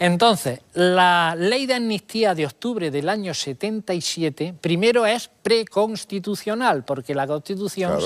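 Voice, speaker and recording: On a very clean recording with a silent background, a man talks at a high pitch and a moderate pace with lively intonation. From Andalusia, Spain. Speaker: historian. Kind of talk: TV interview answer.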